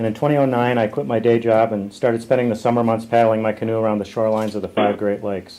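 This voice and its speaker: A man talks at a fairly quick pace in a normal speaking voice, medium in pitch. His intonation stays fairly even. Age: 60s. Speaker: writer and photographer, canoeist. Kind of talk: prepared statement at a press conference. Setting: press conference call. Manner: formal.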